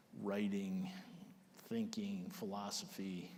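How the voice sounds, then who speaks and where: Speech comes at a very slow pace with audible room echo. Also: man. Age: 60s. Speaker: army general. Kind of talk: onstage interview.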